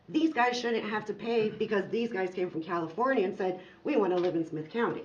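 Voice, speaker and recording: Speaking fairly quickly at a medium pitch, a woman comes through with audible room echo and noticeable background noise. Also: ordinary pitch variation. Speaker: farmer. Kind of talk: public comment at council meeting.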